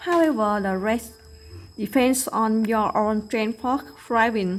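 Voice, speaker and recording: A woman's fairly high voice in a Vietnamese accent, very slow in pace, with ordinary pitch variation. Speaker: English learner. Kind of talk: prepared presentation.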